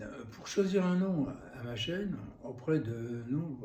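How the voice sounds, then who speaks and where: Noticeable background noise and audible room echo fill the recording. The man's intonation is lively. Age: 70s. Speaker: YouTuber, temp worker and cabinetmaker. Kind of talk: vlog monologue. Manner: hesitant, many fillers.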